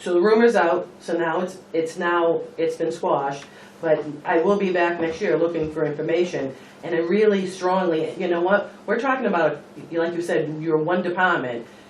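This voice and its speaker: There is audible room echo and noticeable background noise as a man speaks at a high pitch. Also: ordinary pitch variation, moderate pace. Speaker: state employee, member of the public at meeting. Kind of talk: public comment at town meeting. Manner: halting, repeats words.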